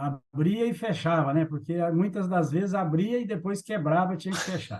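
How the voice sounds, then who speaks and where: The speaker is a man with a high pitch. He talks at a moderate pace with ordinary pitch variation. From Brazil, Minas Gerais (Triângulo Mineiro). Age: 60s. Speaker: agribusiness executive. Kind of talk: interview.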